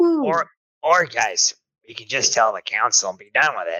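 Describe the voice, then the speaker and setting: Raspy and put on, a man does a character voice. His pace is moderate. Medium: actual play. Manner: folksy, uncertain.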